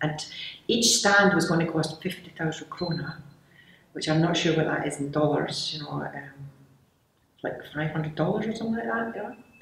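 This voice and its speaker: In a Scottish accent, the speech moves at a fairly quick pace with ordinary pitch variation. Long pauses occur frequently. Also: woman. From Glasgow, Scotland. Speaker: candy company founder. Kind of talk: interview answer.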